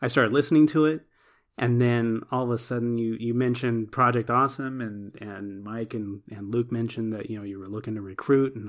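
On a very clean recording with a silent background, a man speaks fairly quickly at a medium pitch with big swings in loudness. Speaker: podcast co-host. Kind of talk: casual chat. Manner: animated, joking.

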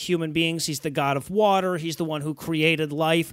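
A man with an American accent speaks at a high pitch with ordinary pitch variation. The recording is very clean, with a silent background and a dry, close sound with no echo. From US Midwest, Detroit. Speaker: podcast co-host. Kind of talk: casual chat.

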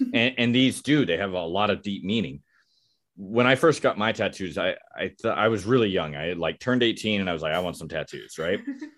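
A man with an American accent and a normal speaking voice talks at a fairly quick pace in a fairly low pitch. His intonation is lively, and the background is quiet. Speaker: podcast host. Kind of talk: casual interview chat. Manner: jokey, laughs often.

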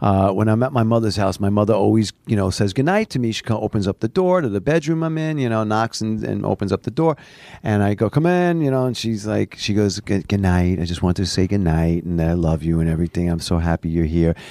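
In a New York accent, a man talks at a fairly quick pace with lively intonation and a dark, mellow, fairly low voice. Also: dry, close sound with no echo. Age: 50s. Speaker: doctor. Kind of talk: casual chat. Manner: halting.

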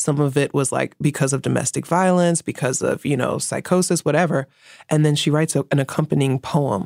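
On a very clean recording with a silent background and a dry, close sound with no echo, a woman with a New York accent speaks at a fairly quick pace with very deep, low pitch, vocal fry and very even loudness. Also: fairly even intonation. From New York City (Bronx). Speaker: feminist writer and activist. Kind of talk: interview.

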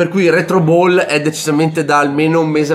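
A man's fairly high, monotone, flat voice amid noticeable background noise. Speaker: board game podcast host. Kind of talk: casual chat.

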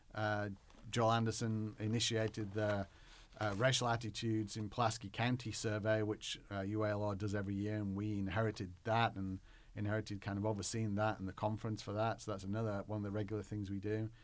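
Speaking with an English accent, a man talks at a very fast pace in a fairly low pitch. His intonation is monotone and flat, on a very clean recording with a silent background. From northwest England, near Manchester. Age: 40s. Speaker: history professor. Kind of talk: interview.

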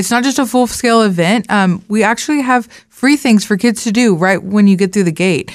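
A woman with a plain, everyday voice talks fairly quickly at a fairly high pitch, with ordinary pitch variation and very even loudness. The recording is very clean, with a silent background. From Beaumont, Texas. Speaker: tourism marketing director. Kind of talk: radio interview.

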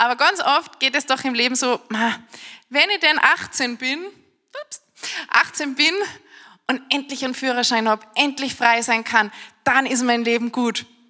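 In a raised, projected and animated voice, a high-pitched woman talks fairly slowly with long, frequent pauses and ordinary pitch variation. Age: 30s. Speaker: preacher. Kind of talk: sermon.

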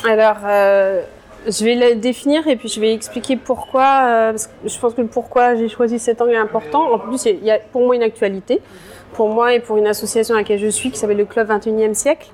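Over noticeable background noise, a woman talks fairly quickly with fairly even intonation. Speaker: journalist. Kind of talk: interview. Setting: cafe. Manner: halting.

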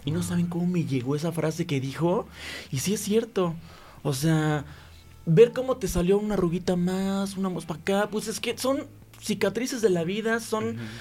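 A man with a Mexican accent, a high pitch, a dark, mellow tone, and lively intonation. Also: moderate pace. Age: 40s. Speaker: content creator. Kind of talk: casual chat.

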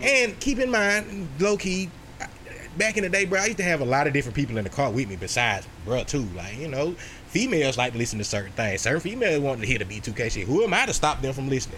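Audible room echo surrounds a man who talks at a very fast pace, his fairly high voice making very wide pitch swings. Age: 30s. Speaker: podcast host. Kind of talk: casual chat.

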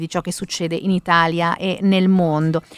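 A woman's plain, everyday voice at a fairly low pitch and a moderate pace, with a dry, close sound and no echo. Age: 30s. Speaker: radio host. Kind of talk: morning radio show.

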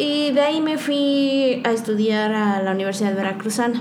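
The speech comes at a fairly slow pace with audible room echo and noticeable background noise. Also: woman. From Oaxaca, Mexico. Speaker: photographer. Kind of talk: interview.

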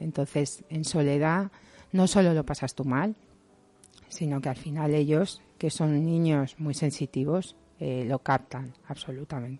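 Her voice is very deep and low, with a dark, mellow tone. The woman talks at a fairly slow pace against a quiet background. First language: Italian and Spanish (speaking Spanish). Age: 40s. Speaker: psychologist. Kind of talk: interview. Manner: halting.

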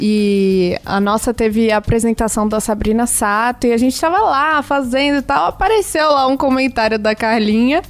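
A woman's fairly high, unremarkable speaking voice at a moderate pace, with hardly any pauses, very even loudness and ordinary pitch variation. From Rio de Janeiro, Brazil. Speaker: singer in a duo. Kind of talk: radio interview. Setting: radio studio.

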